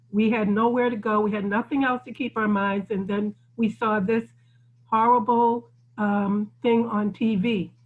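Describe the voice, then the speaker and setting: Fairly high in pitch and somewhat breathy, a woman speaks at a fairly slow pace. Her intonation stays monotone and flat. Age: 60s. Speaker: community technology center leader. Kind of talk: group discussion on video call. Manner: halting, many fillers and restarts.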